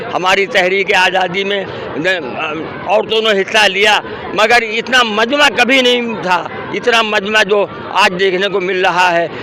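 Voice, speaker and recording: Against crowd noise, a man with a high pitch uses a raised, projected voice, keeping very even loudness and ordinary pitch variation. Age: 80s+. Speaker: protest speaker. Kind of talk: interview at a protest. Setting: outdoors at a protest.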